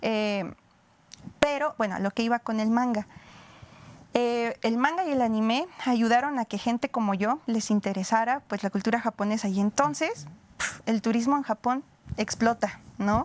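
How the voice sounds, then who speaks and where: Dry and close with no echo, a woman speaks at a moderate pace and fairly high pitch with ordinary pitch variation. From Mexico. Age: 30s. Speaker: historian. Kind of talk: interview. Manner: hesitant, many fillers.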